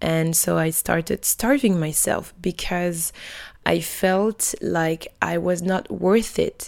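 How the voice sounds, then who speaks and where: A woman talks at a fairly low pitch on a very clean recording with a silent background. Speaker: podcaster. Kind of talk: personal monologue; guided meditation. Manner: slow, gentle.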